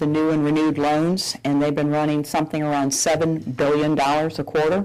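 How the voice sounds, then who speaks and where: A very deep, low-pitched woman's voice in a Southern US accent, monotone and flat, at a fairly quick pace. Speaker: bank executive. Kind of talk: public Q&A.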